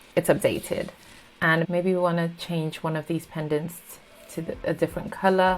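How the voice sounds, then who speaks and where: Noticeable background noise sits behind a woman speaking in a fairly low voice with monotone, flat intonation. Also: moderate pace. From South Africa. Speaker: UX design YouTuber. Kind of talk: tutorial.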